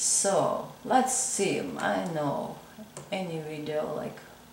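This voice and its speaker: With a Georgian accent, a woman talks at a fairly low pitch with lively intonation, amid noticeable background noise and audible room echo. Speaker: crochet content creator. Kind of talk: tutorial. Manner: halting, many fillers.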